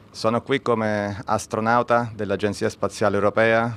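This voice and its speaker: A man with an Italian accent, fairly low in pitch, at a fairly quick pace and in a monotone, flat intonation. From Italy. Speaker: astronaut. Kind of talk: press statement.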